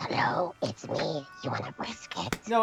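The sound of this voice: In a put-on character voice, the speaker sounds raspy at a low-to-middle pitch and a fairly slow pace, with clear music in the background.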